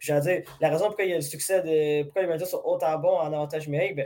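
In a dark, mellow tone, a man speaks at a fairly high pitch with monotone, flat intonation. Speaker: hockey podcast host. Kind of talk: casual sports analysis chat. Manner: halting, many fillers and repetitions.

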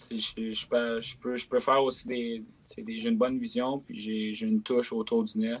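A man talks at a fairly slow pace. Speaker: junior hockey player. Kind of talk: casual interview.

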